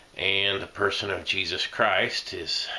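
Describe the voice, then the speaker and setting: A man with an American accent, speaking at a fairly slow pace over noticeable background noise. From Indiana. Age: 40s. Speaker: associate pastor and quiz show applicant. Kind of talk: application video monologue. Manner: halting, many fillers.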